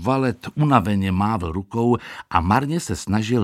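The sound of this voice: This is an unforced reading voice. The words come out in an unforced reading voice.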